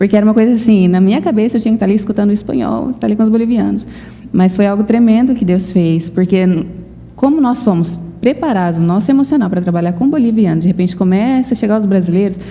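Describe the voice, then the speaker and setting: At a very fast pace, a woman speaks in a medium pitch with ordinary pitch variation and very even loudness over noticeable background noise. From Brazil. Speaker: missionary. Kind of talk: interview.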